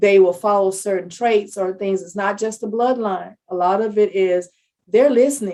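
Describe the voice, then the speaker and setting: The pace stays moderate. It is a normal speaking voice, its intonation fairly even. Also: woman, medium pitch for a woman. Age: 60s. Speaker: public health analyst. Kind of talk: podcast interview.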